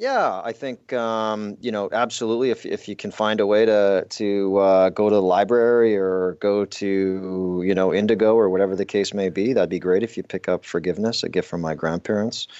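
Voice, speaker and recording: Speaking with a Canadian accent, a man has a plain, everyday voice at fairly low pitch. He keeps a moderate pace and fairly even intonation. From Canadian prairies, southern Alberta. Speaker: entrepreneur and author. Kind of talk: casual chat.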